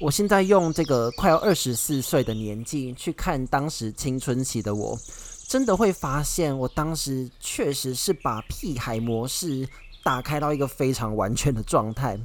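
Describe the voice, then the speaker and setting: An ordinary speaking voice: a man with a fairly high pitch and lively intonation, talking at a fairly slow pace. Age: 20s. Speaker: podcast host. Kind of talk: solo podcast monologue. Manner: casual, conversational.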